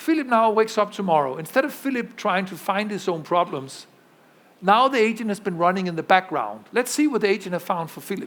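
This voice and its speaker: Lively intonation marks this man's high-pitched voice as he talks at a fairly quick pace. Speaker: tech executive giving keynote. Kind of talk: conference keynote with live demo. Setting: pre-recorded video played at conference. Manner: fast.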